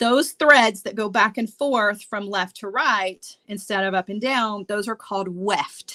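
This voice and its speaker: In a strong Southern US accent, a woman with a fairly high pitch and a bright, sharp tone speaks at a fairly slow pace. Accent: thick Southern US. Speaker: beading instructor. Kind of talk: tutorial. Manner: casual, chatty.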